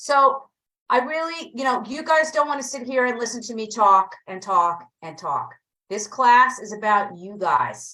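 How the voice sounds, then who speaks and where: A woman with a New Jersey accent speaks in a bright, sharp tone. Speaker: real estate agent and coach. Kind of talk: online training class.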